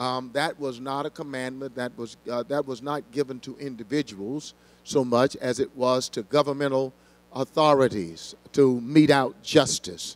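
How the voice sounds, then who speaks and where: The tone is passionate, with fairly even intonation. The pace is moderate. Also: man, big swings in loudness. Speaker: senior pastor teaching Bible study. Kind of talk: Bible study teaching. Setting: church with congregation. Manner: passionate, preacher-like. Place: church. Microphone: handheld.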